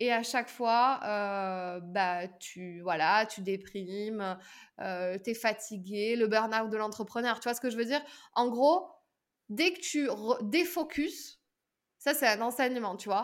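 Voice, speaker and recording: In a very clean recording with a silent background, a woman speaks at a very slow pace in a fairly high pitch, with lively intonation and long, frequent pauses. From southern France. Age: 30s. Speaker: public speaking coach. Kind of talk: podcast interview.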